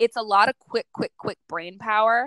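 A woman with an ordinary speaking voice talks at medium pitch and a moderate pace, the sound dry and close with no echo. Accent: American. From New York City. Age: 20s. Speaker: makeup artist. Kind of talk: interview.

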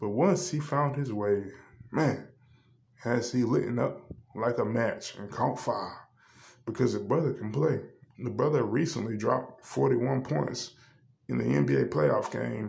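A man speaks at a fairly slow pace with vocal fry and very wide pitch swings. Audible room echo surrounds his voice. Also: medium pitch for a man. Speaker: sports podcast host. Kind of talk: solo podcast monologue. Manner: hesitant with frequent fillers.

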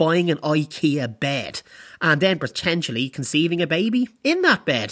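An Irish accent on a very clean recording with a silent background. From Ireland. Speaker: podcast host. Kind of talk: casual monologue.

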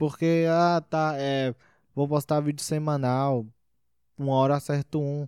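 Recorded dry and close with no echo, a man speaks. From Brasília, Brazil. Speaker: stand-up comedian. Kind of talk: casual interview chat.

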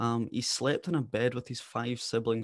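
At a fairly slow pace, a man with a medium pitch speaks with a west coast Scottish accent. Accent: Scottish, west coast, fairly noticeable. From west coast of Scotland. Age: 20s. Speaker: podcaster and former apprentice consultant. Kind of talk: interview, telling life story. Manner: articulate, warm, animated.

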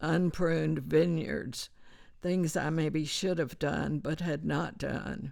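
With an American accent, a woman speaks very slowly in a very deep, low pitch, her vocal fry audible and her intonation fairly even. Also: very clean recording, silent background. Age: 80s+. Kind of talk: interview, reading aloud scripture and article. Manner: hesitant, halting with fillers.

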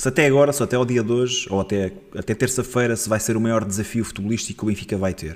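A man speaks very fast at medium pitch. His pitch varies in an ordinary way. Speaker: football podcast host. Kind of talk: casual chat.

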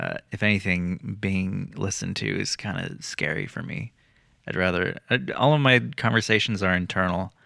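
This man's voice sits very deep and low, with a bright, sharp tone, vocal fry and lively intonation, recorded very cleanly against a silent background. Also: moderate pace. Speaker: musician and sound engineer. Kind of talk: casual chat.

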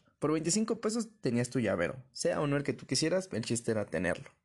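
With a dark, mellow tone, a man talks at a moderate pace against a quiet background. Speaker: podcast host. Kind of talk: casual monologue.

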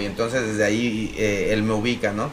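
Noticeable background noise sits under audible room echo here. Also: man. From Mexico, Apatzingán, Michoacán. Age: 30s. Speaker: actor and comedian. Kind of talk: casual chat.

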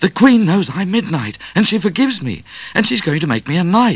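At a moderate pace, a put-on character voice with a slightly husky edge makes big pitch swings. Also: man, high pitch for a man.

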